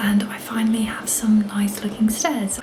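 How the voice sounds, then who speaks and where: Over noticeable background noise and audible room echo, a woman whispers at a moderate pace. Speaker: DIY home renovation vlogger. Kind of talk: casual DIY vlog narration. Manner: whispering.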